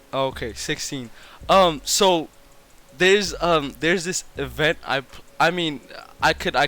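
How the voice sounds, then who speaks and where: A man speaks with a non-native accent. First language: not English. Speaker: streamer. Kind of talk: casual chat. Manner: stutters.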